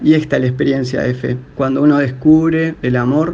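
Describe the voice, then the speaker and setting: A man speaks at a medium pitch. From Argentina, Río Negro. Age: 30s. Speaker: interviewee sharing faith story. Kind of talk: personal testimony. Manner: hesitant, with fillers.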